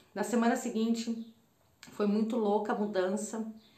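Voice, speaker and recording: A woman at a moderate pace, monotone and flat in intonation, with audible room echo and a quiet background. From Brazil, Campinas, São Paulo state. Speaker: holistic therapist and spiritual mentor. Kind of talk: personal storytelling monologue to camera. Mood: warm, reflective. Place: home room. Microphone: phone near.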